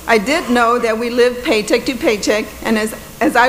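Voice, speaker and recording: Amid audible room echo and noticeable background noise, a woman talks at a high pitch and moderate pace. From Texas, Corpus Christi west side. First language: Spanish. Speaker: judge. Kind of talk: commencement speech. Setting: stage with audience.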